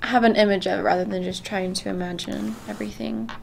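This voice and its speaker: Speaking at a fairly quick pace, a woman talks over noticeable background noise. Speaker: student presenter. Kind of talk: class presentation screencast.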